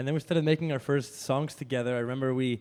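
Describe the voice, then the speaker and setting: Speech comes very fast in a Spanish accent, with a flat, monotone delivery. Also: man. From Spain. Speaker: radio host and DJ. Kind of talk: casual chat.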